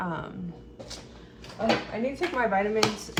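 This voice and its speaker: Amid noticeable background noise and audible room echo, a woman mumbles at a moderate pace. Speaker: lifestyle vlogger and esthetician. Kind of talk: casual vlog. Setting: at home, camera far away. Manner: mumbling. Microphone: far from camera mic.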